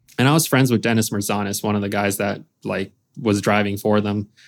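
This man has an unremarkable speaking voice and an American accent. He talks at a moderate pace with fairly even intonation. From Lithuania, moved to US as a child. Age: 30s. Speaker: professional drift racer and business owner. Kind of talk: casual interview. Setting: studio, video recorded.

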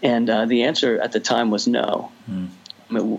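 A man speaks fairly slowly with noticeable background noise around him. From New Jersey (Jersey Shore). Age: 40s. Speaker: youth pastor. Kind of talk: interview.

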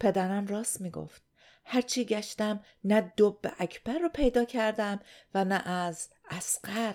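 A normal speaking voice, a woman talks at medium pitch and a fairly slow pace with ordinary pitch variation. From Iran. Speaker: podcast host. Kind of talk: scripted narration.

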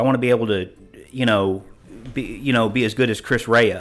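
A man with a normal speaking voice talks fairly quickly at a medium pitch, his intonation fairly even. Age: 50s. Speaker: gym member. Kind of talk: interview.

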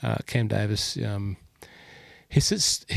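A man with an Australian accent speaks at a fairly low pitch with ordinary pitch variation, in a dry, close sound with no echo, on a very clean recording with a silent background. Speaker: golf podcast host. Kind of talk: casual chat.

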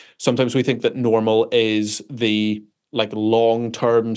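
Speaking at a medium pitch, a man talks with a Northern Irish accent. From Northern Ireland. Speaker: pastor. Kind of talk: interview.

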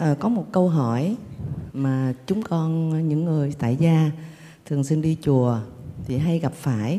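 A woman speaks very slowly with a very deep, low pitch, a dark, mellow tone, lively intonation, very even loudness and long, frequent pauses. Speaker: lay Buddhist participant asking a question. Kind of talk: formal question to teacher. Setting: temple retreat with audience. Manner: halting.

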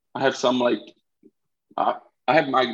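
A man speaks with a Brazilian accent. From Recife, northeastern Brazil. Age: 20s. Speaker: college soccer striker. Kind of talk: casual interview.

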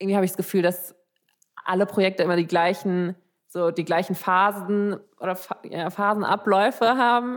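A woman has a normal speaking voice at a medium pitch. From Germany, Frankfurt. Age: 20s. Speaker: podcast host, psychology student. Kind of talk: casual chat.

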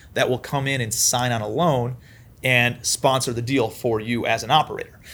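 The man has a plain, everyday voice at a medium pitch. He keeps a moderate pace and fairly even intonation. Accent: American. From Ohio, Cleveland. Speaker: commercial real estate investor. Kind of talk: interview.

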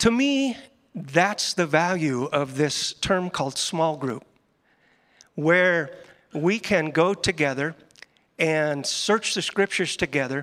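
The very clean recording, with a silent background, carries a man with an American accent speaking at a very slow pace in a fairly high pitch with ordinary pitch variation. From Northeast Nebraska. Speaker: small groups pastor. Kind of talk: panel discussion in church service. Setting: church stage.

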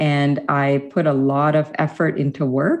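A woman with a very deep, low voice speaks over a quiet background. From India, then Canada (Manitoba/Ottawa) from age nine. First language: Hindi or other Indian language. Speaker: physician researcher. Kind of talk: interview.

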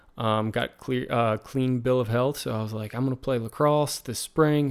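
Here a man speaks with an American accent at medium pitch. His pace is moderate and his intonation fairly even. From Virginia, US. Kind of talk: casual interview chat.

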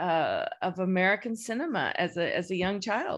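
Against a quiet background, a woman with an unremarkable speaking voice talks at a fairly slow pace and medium pitch. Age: 50s. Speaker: film studies professor. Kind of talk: casual chat.

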